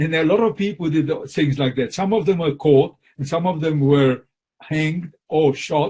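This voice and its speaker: The tone is dark and mellow, with ordinary pitch variation. The pace is moderate. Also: man. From Poland. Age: 80s+. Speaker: Holocaust survivor. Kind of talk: interview answer.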